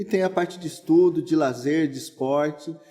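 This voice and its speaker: Through noticeable background noise, a man with a fairly high voice talks at a moderate pace. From Brazil, São Paulo state (Santo André). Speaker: pastor. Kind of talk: casual interview.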